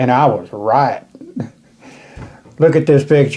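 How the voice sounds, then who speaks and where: A man with a dark, mellow tone speaks at a fairly slow pace with ordinary pitch variation. The background is quiet. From United States. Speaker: firearms video host. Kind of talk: casual talk to camera. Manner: folksy, chatty. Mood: relaxed, enthusiastic. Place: home room. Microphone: camera far.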